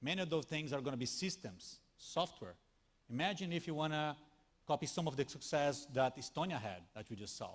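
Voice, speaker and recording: A man talks fairly quickly in a Brazilian accent with lively intonation. His pitch is fairly high, and vocal fry comes through. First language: Portuguese. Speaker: tech company speaker. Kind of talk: conference talk. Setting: stage with audience. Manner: animated.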